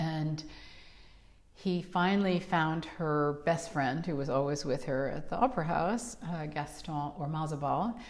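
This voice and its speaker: A woman with a New York accent speaks at a fairly slow pace in a very deep, low pitch with ordinary variation. Audible room echo is present. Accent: New York American. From New York City. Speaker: opera singer. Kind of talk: casual chat.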